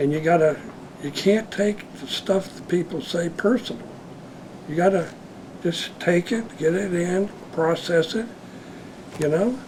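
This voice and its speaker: Fairly slow speech with ordinary pitch variation, long and frequent pauses, and noticeable background noise. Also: man, high pitch for a man. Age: 70s. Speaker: retired schoolteacher. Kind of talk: interview storytelling. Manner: halting, repetitive.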